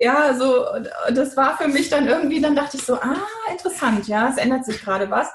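A high-pitched woman at a fairly quick pace with ordinary pitch variation, amid noticeable background noise and audible room echo. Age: 40s. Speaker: brand coach. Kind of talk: interview.

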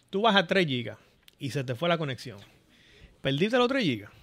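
A man's fairly high voice with vocal fry, very wide pitch swings and a fairly quick pace. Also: long, frequent pauses. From Dominican Republic, Santo Domingo area. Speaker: software engineer. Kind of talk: casual interview.

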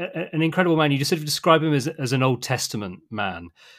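A British accent is heard. It belongs to a man. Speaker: podcast host. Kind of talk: interview. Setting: remote call.

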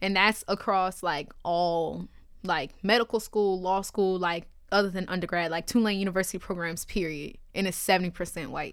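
On a very clean recording with a silent background, a woman of medium pitch speaks at a moderate pace with fairly even intonation and a New Orleans accent. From New Orleans, Louisiana. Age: 20s. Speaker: college student and rapper. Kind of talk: casual chat.

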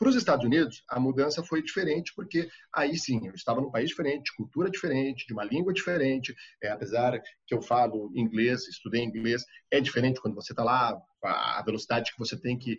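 A somewhat breathy man speaks at a very fast pace. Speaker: TV foreign correspondent. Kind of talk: interview.

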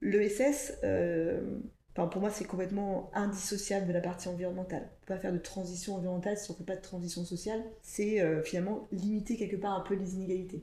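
Amid noticeable background noise, a woman at medium pitch talks at a fairly quick pace with fairly even intonation. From France, Ardennes countryside. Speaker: operations director at a recycling company. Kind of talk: podcast interview.

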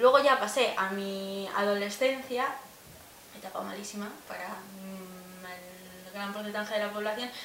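Over noticeable background noise and audible room echo, a woman speaks at a medium pitch and a fairly slow pace. Her intonation stays fairly even while her loudness swings widely. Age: 20s. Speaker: podcast co-host. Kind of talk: casual chat.

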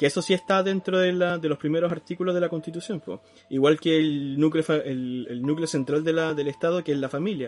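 A man talks at a fairly quick pace. His fairly high pitch has ordinary variation. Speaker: podcast co-host. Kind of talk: casual chat.

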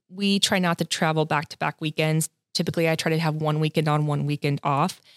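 The speaker has a Californian accent and a fairly quick pace with monotone, flat intonation, recorded dry and close with no echo on a very clean recording with a silent background. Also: woman. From Southern California. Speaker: hairstylist and educator. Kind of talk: casual interview.

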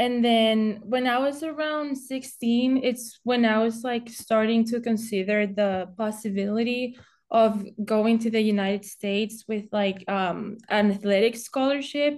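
Hardly pausing, the speaker talks with a Spanish accent and fairly even intonation against a quiet background. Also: woman, fairly high pitch for a woman. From Spain. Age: 20s. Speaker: college golfer. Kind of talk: podcast interview.

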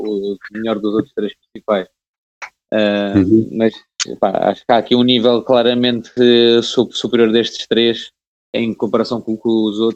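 Pitched in the medium range, a man speaks in a monotone, flat way at a fairly slow pace. Long pauses come often. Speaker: sports podcast host. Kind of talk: casual chat.

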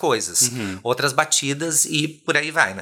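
Behind this male speaker, background noise is noticeable. His voice comes through over it. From southern Brazil (Rio Grande do Sul). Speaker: singer and drag artist. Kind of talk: casual chat.

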